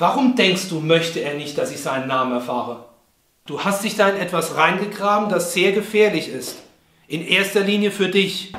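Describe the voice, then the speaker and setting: Through light background noise and audible room echo, a man with a high pitch speaks at a moderate pace. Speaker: actor in a drama scene. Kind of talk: scripted phone dialogue. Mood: tense, urgent, warning. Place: home room.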